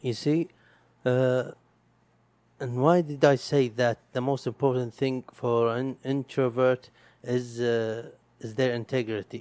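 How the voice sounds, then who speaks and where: A man at medium pitch, very slow pace with long, frequent pauses, fairly even intonation, and a dry, close sound with no echo. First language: Arabic. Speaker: podcaster. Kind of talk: solo monologue. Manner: halting, many pauses.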